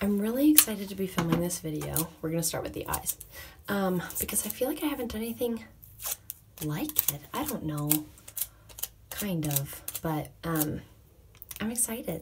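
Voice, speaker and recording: Soft-spoken and medium in pitch, a woman speaks at a moderate pace with very wide pitch swings and long, frequent pauses over noticeable background noise. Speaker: makeup artist, beauty vlogger. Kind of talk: makeup tutorial. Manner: less expressive than usual.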